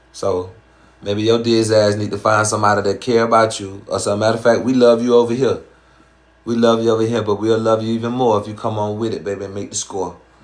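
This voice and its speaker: A man talks very fast in a Southern accent. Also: medium pitch for a man. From US South. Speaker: dating and relationship advice streamer. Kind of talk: live stream chat with viewers. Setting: live stream. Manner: animated.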